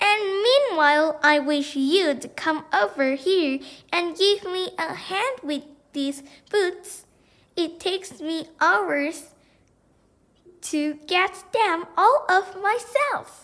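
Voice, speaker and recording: A woman puts on a character voice with an extremely high pitch. She speaks at a very slow pace. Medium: read story.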